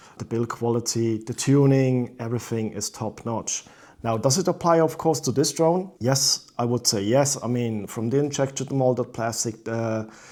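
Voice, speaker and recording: Barely pausing, a man with a non-native accent speaks in a dark, mellow tone. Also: medium pitch for a man, ordinary pitch variation, moderate pace. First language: not English. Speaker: drone reviewer. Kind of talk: product review. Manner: halting.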